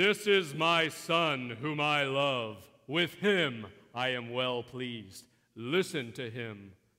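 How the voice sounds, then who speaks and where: A booming, put-on character voice from a man, medium in pitch and at a very slow pace, in a very clean recording with a silent background. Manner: booming, bold.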